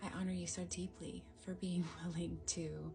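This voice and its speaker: Very slow, soft-spoken delivery in a gentle tone, with music in the background. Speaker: energy healer. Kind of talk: guided energy healing. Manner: soft-spoken, gentle.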